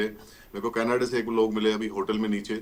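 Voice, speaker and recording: A man with a Haryana accent, medium pitch, over noticeable background noise. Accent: Haryanvi. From India, Haryana belt village. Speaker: retired cricket umpire and commentator. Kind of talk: interview.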